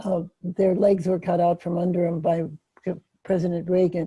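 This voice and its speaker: A woman's fairly low, somewhat breathy voice with a dark, mellow tone and monotone, flat intonation at a moderate pace, dry and close with no echo. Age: 80s+. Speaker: audience member asking question. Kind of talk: question at online meeting. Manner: halting, stammering.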